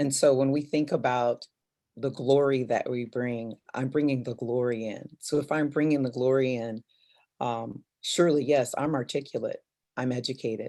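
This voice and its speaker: A woman's very deep, low voice, dark and mellow in tone, calm, with fairly even intonation at a moderate pace. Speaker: communications professional on a panel. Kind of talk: panel discussion. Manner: assertive, calm.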